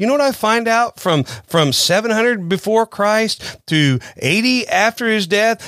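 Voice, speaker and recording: Recorded dry and close with no echo, a man with a Southern US accent speaks at a high pitch. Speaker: pastor. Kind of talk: sermon-style podcast talk. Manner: informal, conversational.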